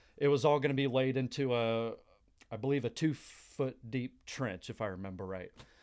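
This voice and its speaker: A man with an American accent and a plain, everyday voice talks at a moderate pace, medium in pitch with ordinary pitch variation. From Texas, Dallas area. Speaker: mechanical technician. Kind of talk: interview storytelling.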